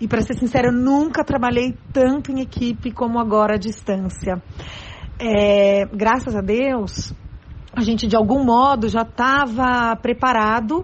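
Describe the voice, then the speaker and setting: Her pace fairly slow and her pitch fairly high, a woman with a plain, everyday voice talks with ordinary pitch variation. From São Paulo, Brazil. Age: 40s. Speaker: schoolteacher. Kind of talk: interview.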